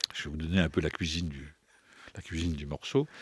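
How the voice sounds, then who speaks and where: Very clean recording of a man, silent in the background. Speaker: writer and poetry performer. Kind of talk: interview answer. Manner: hesitant, searching for words.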